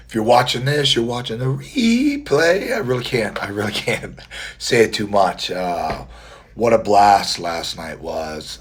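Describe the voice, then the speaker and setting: A man's medium-pitched voice at a fairly slow pace, with lively intonation, big swings in loudness and noticeable background noise. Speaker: competitive mustache grower. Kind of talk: casual livestream talk to camera. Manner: quiet.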